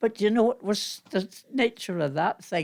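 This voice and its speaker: Intonation here is lively, in a Northern Irish accent. The pace is fairly slow. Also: woman. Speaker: amateur actress. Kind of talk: reminiscing interview. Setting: at home.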